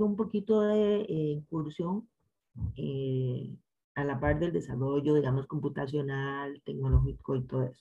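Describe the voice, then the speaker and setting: A woman speaks with a very deep, low pitch and a dark, mellow tone, somewhat breathy. Her intonation is lively and her pace moderate. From Costa Rica, San José. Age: 50s. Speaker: chemistry professor and researcher. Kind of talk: interview.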